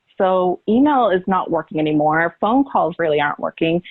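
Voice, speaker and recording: Lively intonation from a woman with a fairly low pitch and a normal speaking voice. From California. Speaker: conference presenter on social media. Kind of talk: conference presentation.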